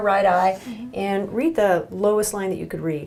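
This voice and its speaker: Noticeable background noise under a woman's medium-pitched voice, moderate in pace with ordinary pitch variation. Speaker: neuro-ophthalmologist doctor. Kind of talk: clinical exam demonstration, instructional. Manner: calm, clear, gentle.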